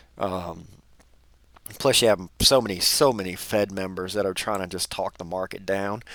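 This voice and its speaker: On a very clean recording with a silent background, the speaker goes at a moderate pace with fairly even intonation. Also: man. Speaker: dividend investor. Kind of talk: casual talk to camera.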